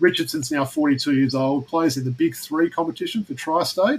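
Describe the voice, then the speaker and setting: A fairly high-pitched man with an Australian accent, at a fairly quick pace. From Australia, Perth. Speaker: basketball podcast host. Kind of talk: casual podcast chat.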